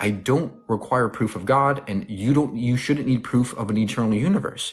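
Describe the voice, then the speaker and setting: Somewhat breathy man's voice at medium pitch with ordinary pitch variation. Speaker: atheist debate streamer. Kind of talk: heated debate. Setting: livestream. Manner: fast; assertive, interrupting.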